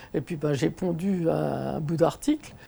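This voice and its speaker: A woman's voice over noticeable background noise. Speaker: senior gamer. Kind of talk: interview. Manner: animated; hesitant with fillers.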